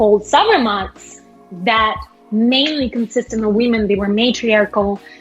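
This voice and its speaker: Music plays in the background as a woman speaks at a fairly slow pace. Her pitch is fairly high and her intonation fairly even. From Kazakhstan. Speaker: actress, singer and lawyer. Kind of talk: interview answer.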